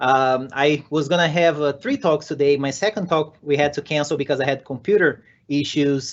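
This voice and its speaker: A man's fairly high voice with a Brazilian Portuguese accent, at a moderate pace with hardly any pauses. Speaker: software developer and conference speaker. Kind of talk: conference talk. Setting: virtual conference session. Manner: energetic.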